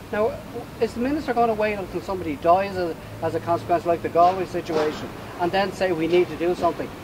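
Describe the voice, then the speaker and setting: A man with an Ulster accent speaks at a fairly quick pace and high pitch. His pitch varies in an ordinary way, with noticeable background noise. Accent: Irish (Cavan). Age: 60s. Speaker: campaigner, home help recipient. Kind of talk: protest statement.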